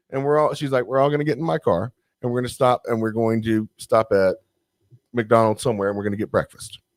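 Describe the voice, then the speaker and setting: A man talks at a very fast pace with a strong Southern US accent, his medium-pitched voice showing ordinary pitch variation in a dry, close sound with no echo. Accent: thick Southern US. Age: 30s. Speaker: podcast guest. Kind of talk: casual chat. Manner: animated.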